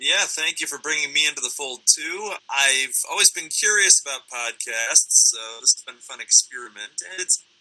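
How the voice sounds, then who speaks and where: A man talks with hardly any pauses and big swings in loudness. The sound is dry and close with no echo, and there is noticeable background noise. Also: moderate pace. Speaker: podcast co-host. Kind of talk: casual chat.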